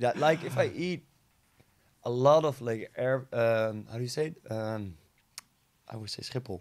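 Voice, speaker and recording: A man at a fairly slow pace, with ordinary pitch variation and long, frequent pauses. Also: medium pitch for a man. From Netherlands. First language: Dutch. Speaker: DJ and vlogger. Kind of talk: casual chat. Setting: studio. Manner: halting.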